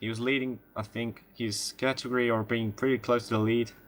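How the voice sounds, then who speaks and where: On a very clean recording with a silent background, a man speaks at a moderate pace with medium pitch and a bright, sharp tone. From Spain. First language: Spanish. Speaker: sim racing commentator. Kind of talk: live commentary. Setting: live stream broadcast. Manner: halting.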